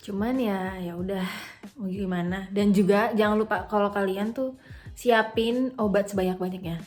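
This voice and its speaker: Over music in the background, a woman of medium pitch speaks at a moderate pace with fairly even intonation. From Jakarta, Indonesia. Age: 20s. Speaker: university student abroad. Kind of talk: casual vlog talk to camera.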